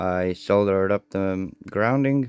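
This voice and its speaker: A man's very deep, low voice with a non-native accent. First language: not English. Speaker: radio hobbyist tutorial maker. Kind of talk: hands-on tutorial. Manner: halting, self-correcting.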